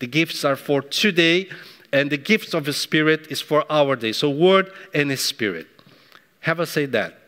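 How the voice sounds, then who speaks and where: A man with a non-native accent speaks at a fairly high pitch in a bright, sharp tone. His pace is moderate and his pitch variation ordinary. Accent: foreign accent, non-native English. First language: not English. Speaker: pastor, church leader. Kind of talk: sermon. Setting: church service, also streamed on YouTube. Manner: animated, warm.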